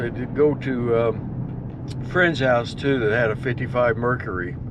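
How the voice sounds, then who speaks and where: Male voice, moderately paced, some room echo audible and background noise noticeable. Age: 70s. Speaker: farmer. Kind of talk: casual vlog monologue. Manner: relaxed, rambling.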